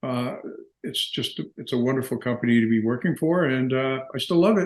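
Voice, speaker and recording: With an Ontario accent, this man speaks in a lively, up-and-down intonation. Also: medium pitch for a man, moderate pace. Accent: Canadian (Ontario). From Canada, Windsor, Ontario (Detroit-Windsor area). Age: 70s. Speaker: dental business executive, entrepreneur. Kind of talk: interview. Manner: hesitant, with frequent repetitions.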